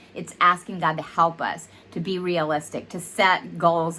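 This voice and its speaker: With a strong Southern US accent, a woman speaks at a fairly low pitch. Her tone is bright and sharp. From US South. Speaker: counselor and podcast host. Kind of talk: faith-based counseling talk. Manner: conversational, with fillers.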